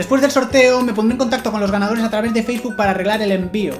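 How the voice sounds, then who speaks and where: With clear music in the background, a woman talks at a very fast pace and ordinary pitch variation. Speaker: vlogger. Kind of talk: casual talk to camera. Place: home room.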